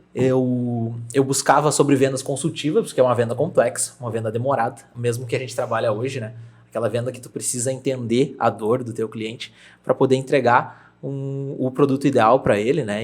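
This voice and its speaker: Big swings in loudness mark a man's unremarkable speaking voice, pitched at a medium level and delivered at a fairly quick pace with fairly even intonation. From Brazil, Rio Grande do Sul interior (Júlio de Castilhos). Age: 20s. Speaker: real estate agent. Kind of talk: podcast interview.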